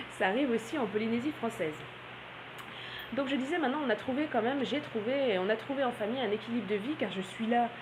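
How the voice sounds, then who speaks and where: Against noticeable background noise, a woman speaks very fast at a high pitch with ordinary pitch variation, very even loudness and long, frequent pauses. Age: 30s. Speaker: blogger and naturopath. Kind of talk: vlog monologue. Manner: hesitant, many filler sounds.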